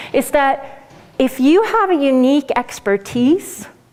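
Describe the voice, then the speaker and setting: A woman speaks at a high pitch with lively intonation over noticeable background noise. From Sweden. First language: Swedish. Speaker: business coach. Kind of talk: lecture.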